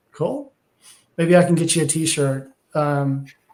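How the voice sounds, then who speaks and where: Speaking in a Texas accent, a man keeps a fairly high pitch and a monotone, flat intonation. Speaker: technology industry analyst, podcast co-host. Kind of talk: casual podcast discussion. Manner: frequent fillers and repetitions.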